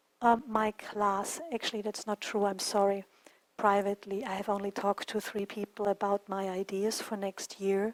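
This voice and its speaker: A woman with a non-native accent speaks at medium pitch and a moderate pace. Her intonation is monotone and flat, and the sound is dry and close with no echo. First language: not English. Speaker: qigong teacher. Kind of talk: online class talk.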